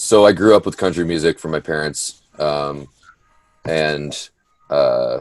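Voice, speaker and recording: The sound is dry and close with no echo as a man speaks. He goes at a fairly slow pace with long, frequent pauses. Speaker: country singer. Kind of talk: interview.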